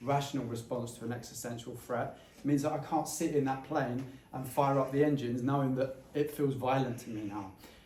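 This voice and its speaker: A man's very fast, monotone delivery with flat intonation, with audible room echo and noticeable background noise. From England, Essex. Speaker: former airline pilot, climate campaigner. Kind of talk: public talk / commentary.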